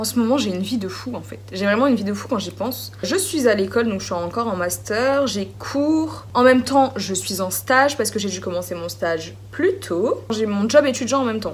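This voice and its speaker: Amid noticeable background noise and audible room echo, a woman speaks at a moderate pace with hardly any pauses. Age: 20s. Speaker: beauty vlogger. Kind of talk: casual chat. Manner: chatty, informal.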